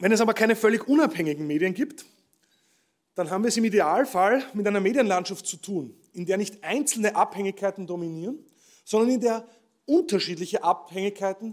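A man's high voice with lively intonation and a fairly quick pace over a quiet background. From Austria. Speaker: professor giving keynote speech. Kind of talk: ceremonial keynote speech. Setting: stage with audience at award ceremony. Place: stage. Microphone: podium.

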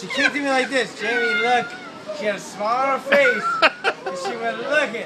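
Someone talks at a fairly quick pace with crowd noise in the background. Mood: amused, joking. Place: train. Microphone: phone near.

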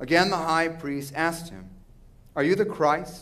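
This man talks with ordinary pitch variation. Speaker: minister reading scripture. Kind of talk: liturgical scripture reading. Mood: solemn, calm. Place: church. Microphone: podium.

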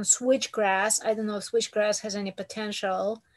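A woman with a fairly high voice speaks in fairly even intonation against a quiet background. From Ukraine. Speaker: workshop attendee. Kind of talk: Q&A question. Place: home room. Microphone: video call.

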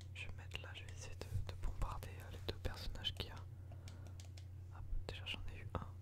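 A man is whispering. He goes at a fairly quick pace. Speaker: game streamer. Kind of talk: gameplay commentary. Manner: close-mic ASMR whisper. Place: home room. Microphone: studio mic.

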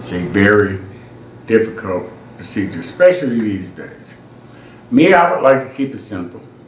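Audible room echo and light background noise surround this man's voice. He speaks at a fairly low pitch with big swings in loudness. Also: moderate pace. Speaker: family reunion vlogger. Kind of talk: casual vlog chat. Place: home room.

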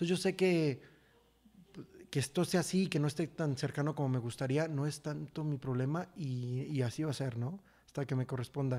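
Speaking at a moderate pace, a man has a dark, mellow tone and ordinary pitch variation. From Mexico. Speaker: actor. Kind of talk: casual chat. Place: studio. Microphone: studio mic.

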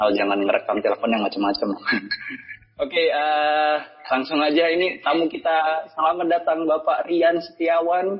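A man with a strong Javanese accent talks at a moderate pace in a high pitch. His intonation is lively and his loudness stays very even. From Java, Indonesia. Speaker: podcast host. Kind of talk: casual chat. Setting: remote call recording. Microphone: phone line.

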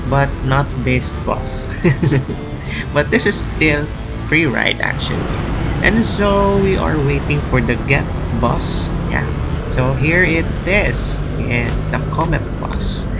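The speech moves at a very slow pace with long, frequent pauses. Music plays in the background. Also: man. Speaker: travel vlogger. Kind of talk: casual vlog chat. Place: street. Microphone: phone near.

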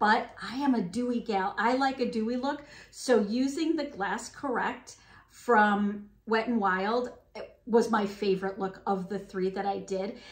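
A woman with a fairly high pitch and ordinary pitch variation speaks amid audible room echo. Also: fairly slow pace. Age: 50s. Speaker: beauty vlogger. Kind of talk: product review. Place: home room.

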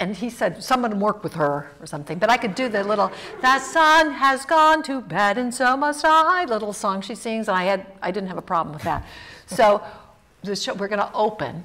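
The speaker has an American accent. The pitch swings very widely. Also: woman, fairly high pitch for a woman, moderate pace. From US South. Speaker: actor and theatre professor; actor, theatre professor. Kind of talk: storytelling in a public talk. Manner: animated. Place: stage.

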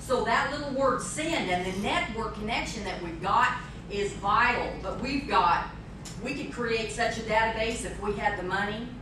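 A woman speaks with ordinary pitch variation and audible room echo. Noticeable background noise runs underneath. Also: moderate pace. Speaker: speaker. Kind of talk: talk with audience Q&A. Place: hall. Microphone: camera far.

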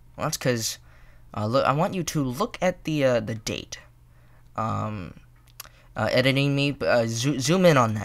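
This man speaks at a moderate pace with lively intonation. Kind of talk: casual vlog chat. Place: home room. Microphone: studio mic.

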